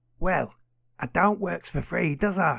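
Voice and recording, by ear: This man puts on a character voice, fairly high-pitched with lively intonation and a fairly slow pace. Vocal fry and a slightly husky edge run through it.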